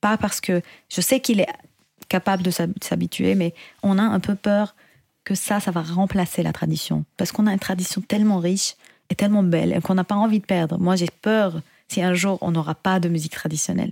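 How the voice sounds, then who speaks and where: A woman with an Arabic accent speaks at a fairly quick pace, with long, frequent pauses and a somewhat breathy voice. Her intonation is fairly even and her loudness very even. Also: medium pitch for a woman. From Syria. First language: Arabic (speaking French). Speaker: singer and composer. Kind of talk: interview. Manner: halting.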